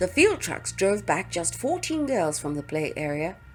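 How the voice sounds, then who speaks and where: Fairly slow speech from a woman, music behind it. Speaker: audiobook narrator. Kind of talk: audiobook reading.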